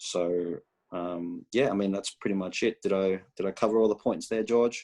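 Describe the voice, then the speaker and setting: The sound is dry and close with no echo as a man talks at a moderate pace with an Australian accent. His fairly low voice has a dark, mellow tone and fairly even intonation. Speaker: college soccer head coach. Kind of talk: interview. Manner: halting, many fillers.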